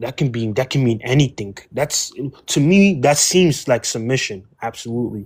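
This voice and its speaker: Somewhat breathy male speech at a medium pitch and moderate pace, with lively intonation. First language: not English. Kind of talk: heated debate.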